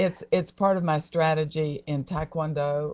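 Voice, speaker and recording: Here is a woman with an American accent. Her pitch is very deep and low. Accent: Southern US, genteel. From US South, Atlanta, Georgia. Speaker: taekwondo athlete, guest. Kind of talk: casual interview chat. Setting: live stream.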